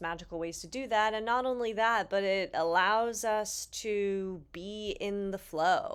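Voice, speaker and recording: Here is a woman with an ordinary speaking voice at medium pitch. She keeps a moderate pace and ordinary pitch variation. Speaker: psychic medium and spiritual guide. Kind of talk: spiritual talk to camera.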